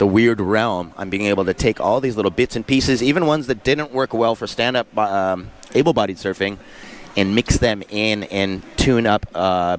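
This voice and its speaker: Noticeable background noise accompanies a man with a Southern Californian accent and a fairly low pitch. He moves at a moderate pace with ordinary pitch variation. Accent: Southern Californian American. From Southern California, San Diego area. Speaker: surf contest commentator. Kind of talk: live commentary. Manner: casual, filler-heavy.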